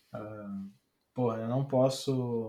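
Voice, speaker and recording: His voice has a medium pitch and a dark, mellow tone. The man sounds somewhat breathy, with ordinary pitch variation. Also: very clean recording, silent background. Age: 20s. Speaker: designer. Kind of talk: casual chat. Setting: live stream. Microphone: audio too quiet.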